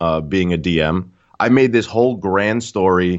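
A man's fairly low voice with ordinary pitch variation and a slight New York accent. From Queens, New York. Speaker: gamer and streamer. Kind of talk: casual chat.

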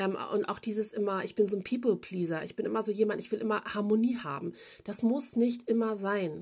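A woman at medium pitch talks at a fairly quick pace with ordinary pitch variation. Hers is a normal speaking voice. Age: 40s. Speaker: podcast host. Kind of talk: casual monologue.

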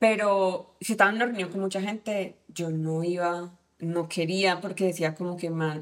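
A woman with a Cali Colombian accent speaks at a fairly low pitch with fairly even intonation. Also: moderate pace. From Colombia, Cali. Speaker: tech team lead, former au pair. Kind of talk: casual interview chat. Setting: host's home.

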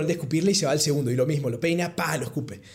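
A man rattles off his words at a very fast pace while audible room echo fills the space. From Argentina, Córdoba. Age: 20s. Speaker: podcast guest sharing travel experience. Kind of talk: casual storytelling interview.

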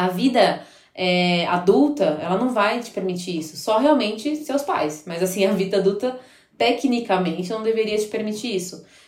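This woman uses lively intonation at a moderate pace, her pitch sitting in the medium range. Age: 20s. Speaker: biology teacher and pastor's wife. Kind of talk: casual chat. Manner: halting.

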